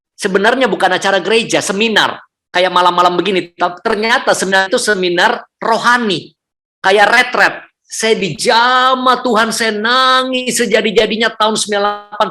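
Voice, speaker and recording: A man with a high pitch and a bright, sharp tone uses a raised, projected voice at very even loudness, with fairly even intonation at a moderate pace. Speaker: public speaking trainer and church speaker. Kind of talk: testimony. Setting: hotel room, online service.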